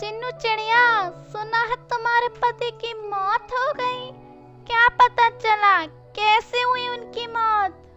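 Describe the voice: A cartoonish, female-sounding character voice at an extremely high pitch speaks at a very slow pace, with faint music in the background.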